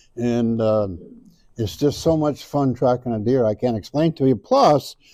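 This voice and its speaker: This voice belongs to a man. His tone is dark and mellow. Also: dry, close sound with no echo, quiet background. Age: 70s. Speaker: deer hunting expert. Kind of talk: seminar talk. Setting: stage with audience.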